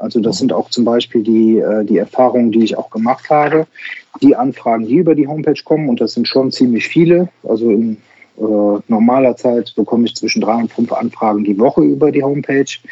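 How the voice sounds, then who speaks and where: A fairly quick male voice, dark and mellow, medium in pitch with ordinary pitch variation, dry and close with no echo. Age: 40s. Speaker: insurance broker and digital sales coach. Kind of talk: interview. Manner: hesitant, many filler sounds.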